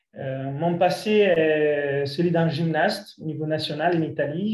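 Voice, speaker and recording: Fairly high-pitched man's voice with fairly even intonation and audible room echo. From Italy. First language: Italian (speaking French). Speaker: breathing coach. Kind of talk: lecture. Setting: video call.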